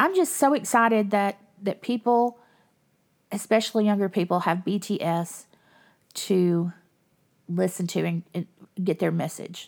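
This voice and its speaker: The speaker talks at a fairly slow pace with a Southern US accent and an animated tone. Pitch varies in an ordinary way on a very clean recording with a silent background. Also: woman. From US South. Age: 50s. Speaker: podcast host. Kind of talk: casual monologue.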